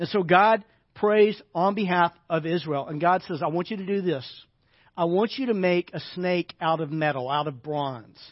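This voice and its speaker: Here a man talks at a moderate pace with a high pitch and ordinary pitch variation. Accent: American. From US South, Arkansas. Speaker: pastor. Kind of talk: sermon. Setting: church.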